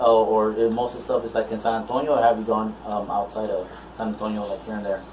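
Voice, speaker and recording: Delivered at a very fast pace, the speech stays monotone and flat against noticeable background noise. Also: man, medium pitch for a man. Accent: American. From Houston, Texas. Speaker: DJ and interviewer. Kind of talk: casual interview chat. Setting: live video stream. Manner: halting, many fillers.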